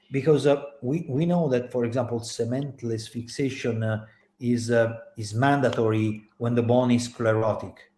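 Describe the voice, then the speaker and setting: His tone is dark and mellow, at a medium pitch. The man's intonation stays fairly even. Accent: Italian. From Italy. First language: Italian. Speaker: orthopaedic surgeon. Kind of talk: panel discussion. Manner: hesitant, many fillers.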